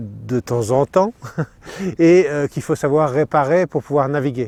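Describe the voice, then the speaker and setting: A man's fairly high voice moves at a fairly slow pace with ordinary pitch variation. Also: dry, close sound with no echo. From Normandy, France. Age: 60s. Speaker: sailor and boat builder. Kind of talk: interview. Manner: hesitant, many fillers.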